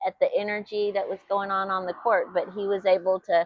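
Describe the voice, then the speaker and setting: A woman with a Texan accent speaks at a medium pitch and a moderate pace. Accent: Texan, stronger than husband's. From Texas. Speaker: YouTube host. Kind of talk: casual chat.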